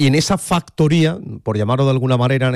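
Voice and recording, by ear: A man speaks with a slightly mellow tone and ordinary pitch variation. The recording is very clean, with a silent background.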